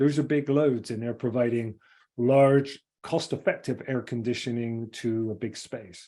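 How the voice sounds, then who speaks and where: A man talks at a fairly slow pace in a medium pitch. His tone is dark and mellow, and his intonation stays fairly even. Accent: English. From England. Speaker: engineering firm CEO. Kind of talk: webinar presentation. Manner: halting.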